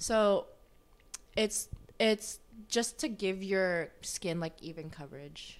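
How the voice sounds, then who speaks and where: A woman at a medium pitch speaks very slowly, with big swings in loudness, ordinary pitch variation, and long, frequent pauses. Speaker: guest. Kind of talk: casual chat.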